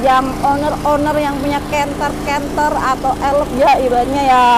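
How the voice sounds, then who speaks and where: Loud background noise sits behind the voice. The pace is moderate and the sound is dry with no echo. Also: woman. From Indonesia. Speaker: YouTube vlogger. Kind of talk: casual video interview. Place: open country.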